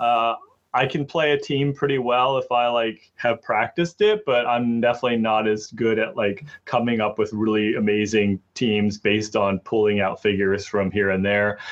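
In a normal speaking voice, a man of medium pitch talks at a moderate pace. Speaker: gaming podcaster. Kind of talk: casual podcast interview. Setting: remote computer call. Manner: casual, friendly.

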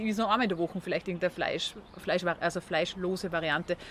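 Using an ordinary speaking voice, a woman speaks at a fairly quick pace with ordinary pitch variation. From Austria. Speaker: vegan food entrepreneur. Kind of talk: interview.

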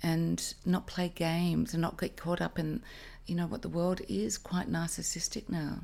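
A woman with an Australian accent talks at a moderate pace. The recording is very clean, with a silent background. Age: 50s. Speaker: actress. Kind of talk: casual chat.

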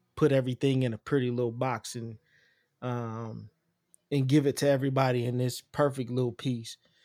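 A man speaks at medium pitch with monotone, flat intonation. The sound is dry and close with no echo, on a very clean recording with a silent background. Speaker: podcast co-host, military veteran. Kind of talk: casual chat. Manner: laid-back.

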